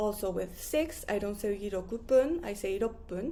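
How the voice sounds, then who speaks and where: Her tone dark and mellow with vocal fry, a woman talks at a moderate pace. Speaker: Japanese language teacher. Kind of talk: tutorial.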